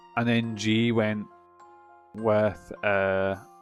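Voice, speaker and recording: A man with a Scottish accent at medium pitch, speaking at a very slow pace over background music. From Scotland. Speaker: game streamer. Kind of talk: thinking aloud while solving a puzzle.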